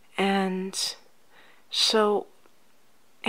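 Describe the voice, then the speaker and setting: A soft-spoken woman's voice with a gentle, soothing tone. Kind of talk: ASMR life coach roleplay, softly spoken. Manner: soft-spoken, gentle, soothing.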